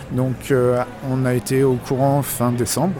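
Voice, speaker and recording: With music in the background, a man talks at a medium pitch. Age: 30s. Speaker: video game shop manager. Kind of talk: interview. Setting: in a shop. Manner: hesitant, many fillers.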